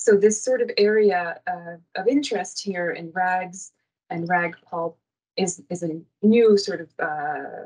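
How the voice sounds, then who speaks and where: A woman's medium-pitched voice, with ordinary pitch variation and a Canadian accent. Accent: Canadian, non-Australian. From Canada. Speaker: university lecturer and researcher. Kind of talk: conference presentation.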